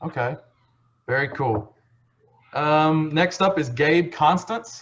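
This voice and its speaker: A man with a Texas accent and a fairly high pitch talks at a very slow pace. His intonation is lively, broken by long, frequent pauses. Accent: Texas twang. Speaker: county ambassador hosting scholarship call. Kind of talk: casual video call roll call. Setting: video call. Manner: casual, relaxed.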